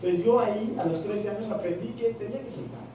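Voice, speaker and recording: Amid noticeable background noise and audible room echo, a man speaks in an animated tone at a moderate pace. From Peru. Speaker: network marketing trainer. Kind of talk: motivational seminar talk.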